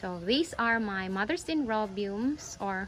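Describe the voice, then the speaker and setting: The intonation is lively. The pace, though, is very slow. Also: woman. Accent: Visayan Filipino. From Philippines, Bisaya-speaking region. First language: Bisaya (Cebuano). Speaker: orchid-growing YouTuber. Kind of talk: casual vlog tutorial. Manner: halting, self-correcting.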